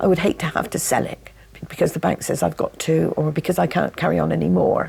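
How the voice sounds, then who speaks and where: A woman speaks at a fairly quick pace. There is noticeable background noise. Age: 70s. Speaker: hotel owner. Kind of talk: casual chat.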